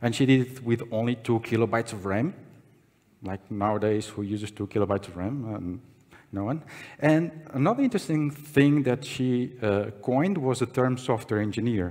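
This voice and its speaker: A quiet background sits behind the voice. Its tone is dark and mellow. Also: man. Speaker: conference speaker. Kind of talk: conference talk. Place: hall. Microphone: podium.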